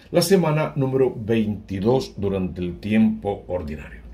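Using lively intonation and a dark, mellow tone with vocal fry, a man speaks at a moderate pace. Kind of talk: homily / scripture reflection.

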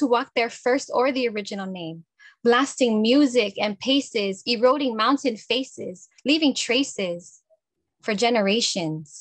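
A woman speaks at a moderate pace in a high voice with ordinary pitch variation, recorded dry with no echo against a quiet background. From Guam. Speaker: poet and farmer; poet. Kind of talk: poetry reading and panel discussion. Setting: video call.

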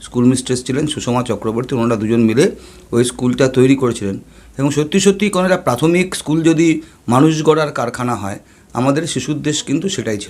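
Lively intonation runs through this man's speech at medium pitch. It is an ordinary speaking voice. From West Bengal, Kolkata (Jadavpur). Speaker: newspaper journalist. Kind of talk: interview.

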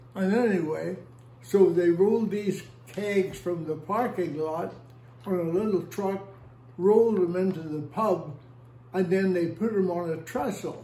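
A man with an American accent talks in a high pitch with ordinary variation, at a fairly slow pace with long, frequent pauses. Room echo is audible. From Northern Ireland, Belfast. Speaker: oral history interviewee; interviewee. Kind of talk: oral history interview storytelling. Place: home room. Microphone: phone near.

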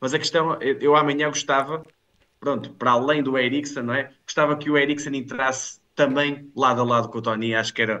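A man's fairly high voice with a bright, sharp tone, at a fairly quick pace against a quiet background. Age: 30s. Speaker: football pundit; football commentator. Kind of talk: casual chat. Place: home room. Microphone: headset.

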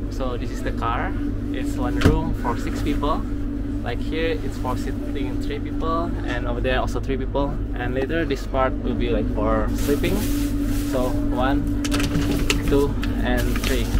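Loud background noise around a man with long, frequent pauses in his speech. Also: fairly slow pace. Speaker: travel vlogger. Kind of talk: casual vlog chat. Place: train. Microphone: phone near.

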